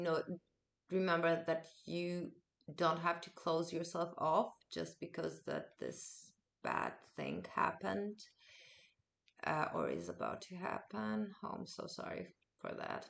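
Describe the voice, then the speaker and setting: A woman speaks at a very slow pace with long, frequent pauses. Her loudness swings a lot. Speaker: tarot reader. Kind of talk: tarot reading to camera. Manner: warm, reassuring.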